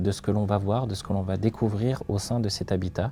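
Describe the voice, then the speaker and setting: With music playing in the background, a man talks at a moderate pace in a fairly low pitch and fairly even intonation. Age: 30s. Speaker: company founder, crime scene cleaner. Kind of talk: interview testimony. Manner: hesitant, many filler sounds.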